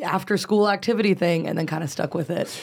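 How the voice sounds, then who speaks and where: Using an ordinary speaking voice, a woman with an American accent talks at a fairly quick pace with ordinary pitch variation. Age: 20s. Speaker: comedian. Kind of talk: casual chat.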